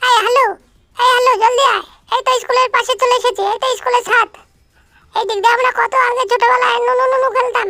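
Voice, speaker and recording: Someone uses a put-on character voice at an extremely high pitch and a fairly quick pace. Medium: machinima. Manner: bossy, hurried, scolding.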